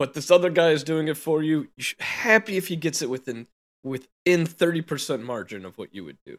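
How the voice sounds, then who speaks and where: A man with a plain, everyday voice speaks at a fairly high pitch, his intonation lively and his loudness swinging widely. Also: fairly quick pace. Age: 30s. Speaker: podcast co-host. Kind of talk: casual chat.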